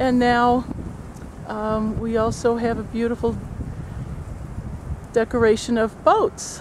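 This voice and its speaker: Long pauses come often in this very slowly paced speech. Underneath it, background noise is noticeable. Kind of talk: casual talk to camera, filming outdoors. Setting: outdoors. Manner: perky, upbeat.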